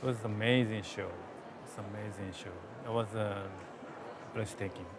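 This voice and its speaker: A man with a Japanese accent speaks at a fairly low pitch in a monotone, flat way, his loudness swinging widely. Noticeable background noise and audible room echo are present. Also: moderate pace. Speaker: gallerist. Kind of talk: interview. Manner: halting.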